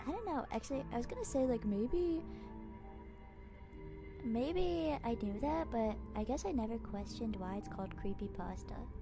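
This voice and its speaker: Long, frequent pauses from a woman speaking at a moderate pace, music in the background. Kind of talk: casual banter while reading stories aloud with a co-host.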